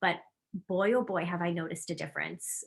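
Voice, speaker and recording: A woman speaks at a medium pitch in an animated tone. Her pace is fairly quick. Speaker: wellness class presenter. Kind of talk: online wellness class.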